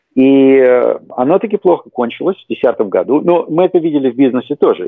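A man speaking at a moderate pace. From Russia, Leningrad. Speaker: investment manager. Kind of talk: interview.

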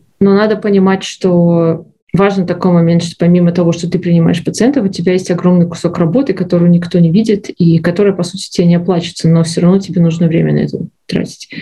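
Very fast and somewhat breathy, a woman talks with a dark, mellow tone, a fairly low pitch and fairly even intonation. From Belarus. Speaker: medical resident, former physician. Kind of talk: interview. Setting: studio.

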